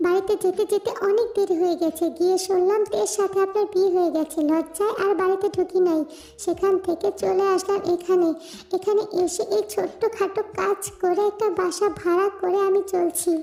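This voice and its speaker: Using a put-on character voice, a woman speaks at an extremely high pitch with monotone, flat intonation and very even loudness over light background noise. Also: moderate pace. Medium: read story. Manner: emotional, earnest.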